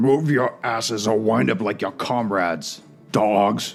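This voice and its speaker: With faint music in the background, a man puts on a gruff, growling character voice at a fairly slow pace, medium pitch and ordinary pitch variation. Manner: threatening, commanding.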